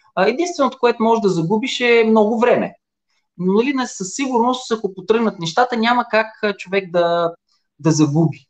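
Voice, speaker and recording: A man speaks with ordinary pitch variation. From Bulgaria, Silistra. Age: 40s. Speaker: online retailer. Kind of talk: interview.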